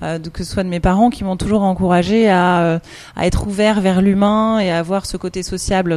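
Her tone is dark and mellow. The woman keeps a fairly even intonation. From France. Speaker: founder of an elderly care service. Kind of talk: radio interview.

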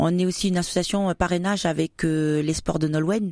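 A woman with a fairly low voice speaks at a moderate pace and fairly even intonation, in a dry, close sound with no echo on a very clean recording with a silent background. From New Caledonia, Wallis and Futuna heritage. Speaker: association president, former soldier. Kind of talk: radio interview. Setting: radio studio. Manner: hesitant, many fillers.

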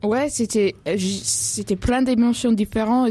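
Over noticeable background noise, a woman talks at a very slow pace with ordinary pitch variation. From Australia (Perth). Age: young. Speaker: sailing adventurer and author. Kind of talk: radio interview. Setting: studio. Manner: halting.

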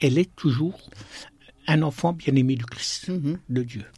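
A man talks at a moderate pace with a fairly high pitch. His voice is somewhat breathy, with ordinary pitch variation. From eastern France, Besançon (Franche-Comté). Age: 60s. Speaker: deacon and hospital chaplain. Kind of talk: radio interview. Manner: halting.

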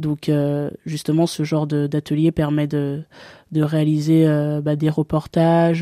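A woman speaks at a very slow pace with a very deep, low pitch, a dark, mellow tone and monotone, flat intonation. The recording is very clean with a silent background and a dry, close sound with no echo. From France, Bourg-en-Bresse (Ain). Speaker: sports journalist. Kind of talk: interview. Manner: hesitant, many fillers.

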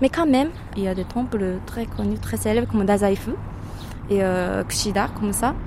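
A woman speaks at a moderate pace with long, frequent pauses. Audible room echo and noticeable background noise are present. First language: Japanese (speaking French). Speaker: local guide. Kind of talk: casual interview. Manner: halting.

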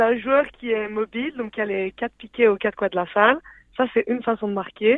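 A woman with an ordinary speaking voice talks at a fairly quick pace in a fairly high pitch with fairly even intonation. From Belgium, Liège. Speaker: sport co-creator, physical education graduate. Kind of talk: radio interview.

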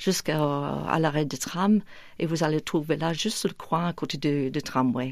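Spoken at a very slow pace with an English accent, the voice shows ordinary pitch variation. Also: woman. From northern England, near Manchester and Liverpool. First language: English (speaking French). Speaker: church event organiser. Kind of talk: radio interview. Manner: hesitant, many fillers.

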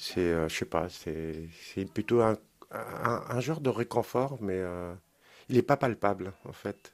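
A man's fairly low voice at a very slow pace with lively intonation. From Normandy, Caen. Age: 50s. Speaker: resident of social housing. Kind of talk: interview testimony.

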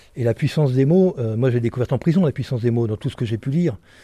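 A man talks at a fairly quick pace and medium pitch. His tone is dark and mellow, and somewhat breathy. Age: 60s. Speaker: author and former bank robber. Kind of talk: interview testimony. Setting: prison library.

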